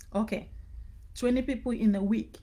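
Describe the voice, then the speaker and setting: A woman's fairly high voice at a moderate pace, dark and mellow in tone, with vocal fry and ordinary pitch variation. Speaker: business coach. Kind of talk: live online training. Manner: casual, repetitive.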